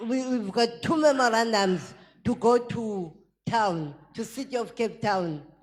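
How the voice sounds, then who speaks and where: A woman's fairly high voice at a very slow pace, with music in the background. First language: not English. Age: old. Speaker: waste picker, audience member. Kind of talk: audience question at public debate. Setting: debate hall with audience.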